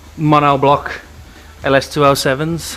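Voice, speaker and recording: A man with a fairly high pitch at a very slow pace, over noticeable background noise. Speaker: car enthusiast. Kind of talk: casual vlog. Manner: casual, rambling.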